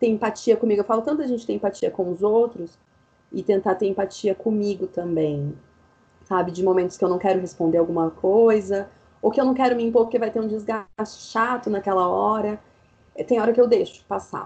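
A woman speaks at a fairly quick pace with a medium pitch and ordinary pitch variation. Noticeable background noise runs underneath. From interior of São Paulo state, Brazil. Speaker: university lecturer in public health. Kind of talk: casual interview chat. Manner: animated.

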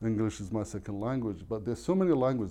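The tone is dark and mellow. Vocal fry runs through it. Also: man.

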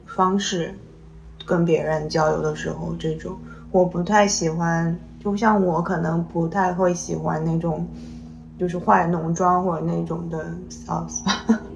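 Audible room echo surrounds a woman who talks at a fairly slow pace. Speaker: podcast host. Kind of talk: casual chat.

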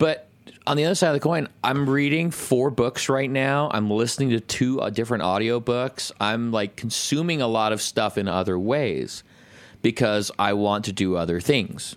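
A man speaks at medium pitch in an unremarkable speaking voice at a moderate pace. The recording is very clean with a silent background. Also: lively intonation. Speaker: podcast co-host, recording studio owner. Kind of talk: casual chat, podcast banter. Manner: profane, casual, rambling.

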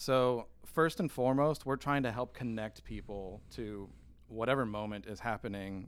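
A man with an American accent talks at a moderate pace and medium pitch with fairly even intonation, in a plain, everyday voice. The recording is very clean, with a silent background. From Michigan. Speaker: church production director. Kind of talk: casual chat.

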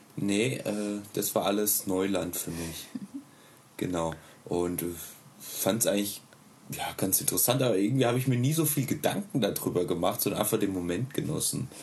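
Lively intonation marks this fairly low-pitched man's voice. He leaves long, frequent pauses, and room echo is audible. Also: moderate pace. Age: 30s. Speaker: stay-at-home father and hobby musician. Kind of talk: casual interview.

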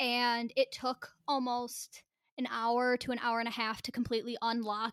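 A woman's fairly high voice at a moderate pace, with a dry, close sound and no echo. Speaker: podcast co-host. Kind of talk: casual chat. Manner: loud.

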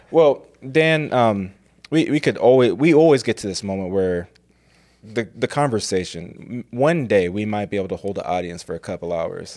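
A normal speaking voice at a moderate pace with lively intonation, on a very clean recording with a silent background. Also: man, fairly low pitch for a man. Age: 30s. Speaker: pastor and seminary recruitment director, podcast host. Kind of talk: casual chat.

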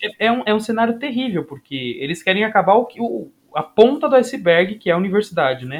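Fairly quick delivery with very wide pitch swings and big swings in loudness. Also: man. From Guarulhos, São Paulo, Brazil. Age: 20s. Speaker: sports science graduate student and former athlete. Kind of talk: casual chat.

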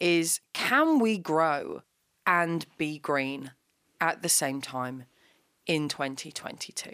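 A woman's very deep, low voice with a British accent and ordinary pitch variation, recorded very cleanly against a silent background. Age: 30s. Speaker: comedian. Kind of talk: casual chat. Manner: animated.

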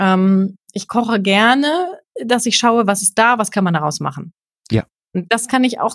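A somewhat breathy woman's voice. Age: 30s. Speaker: journalist and freelance presenter, podcaster. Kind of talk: casual chat.

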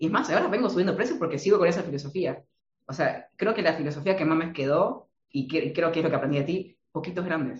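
A man's high-pitched voice with an Argentine accent at a fairly quick pace. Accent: Argentine Spanish (voseo). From Argentina. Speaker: marketing consultant. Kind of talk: interview.

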